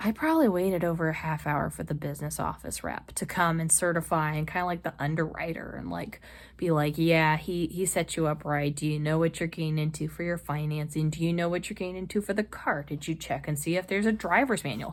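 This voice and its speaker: A woman's very fast, animated delivery, fairly low in pitch for a woman, with hardly any pauses. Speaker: lifestyle vlogger. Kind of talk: casual vlog talk.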